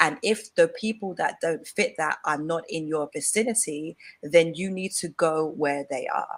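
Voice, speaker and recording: A woman with an English accent speaks at a fairly slow pace in a fairly low pitch, with ordinary pitch variation and hardly any pauses. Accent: English accent, clearly noticeable. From England. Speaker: femininity coach. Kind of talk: live-stream interview chat. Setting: online live stream.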